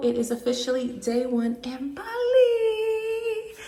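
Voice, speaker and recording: A woman speaks at a high pitch with very wide pitch swings. Noticeable background noise runs behind her. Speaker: travel vlogger. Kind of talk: casual vlog narration. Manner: fast.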